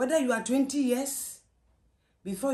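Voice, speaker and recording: A woman talks with a Ghanaian accent at a moderate pace. The background is quiet. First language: Twi. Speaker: mother answering daughter's questions. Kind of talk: interview answer. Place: home room. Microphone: camera far.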